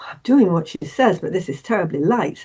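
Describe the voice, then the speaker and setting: Speaking in an English accent, a woman's voice sits at a medium pitch. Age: 80s+. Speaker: therapist. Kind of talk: interview. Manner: halting, many repetitions and fillers.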